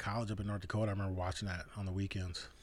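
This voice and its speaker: Speaking very fast in a fairly low pitch, a man is heard with audible room echo. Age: 30s. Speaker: podcast co-host. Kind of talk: casual chat.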